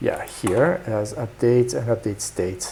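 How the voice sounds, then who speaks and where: Very slow speech with a French accent. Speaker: programming streamer. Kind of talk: live coding stream; casual chat with viewers. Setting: live stream. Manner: hesitant, many fillers.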